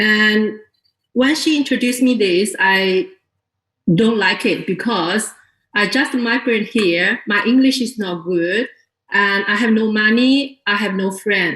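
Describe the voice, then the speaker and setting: A woman's fairly high voice at a fairly slow pace. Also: ordinary pitch variation. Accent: Chinese. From China. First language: Chinese. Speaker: network marketing distributor. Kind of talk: testimony to an audience. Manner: unprepared, hesitant.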